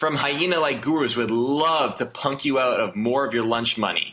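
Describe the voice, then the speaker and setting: A man's fairly high voice shows ordinary pitch variation, with background noise noticeable behind him. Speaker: online marketer. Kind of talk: sales pitch. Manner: animated.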